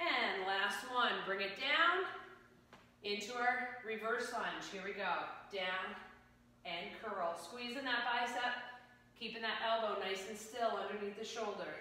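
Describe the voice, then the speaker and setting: Strong room echo surrounds a woman who talks at a fairly slow pace with ordinary pitch variation and long, frequent pauses. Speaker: fitness instructor. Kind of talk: workout instruction cues. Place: gym. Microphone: camera far.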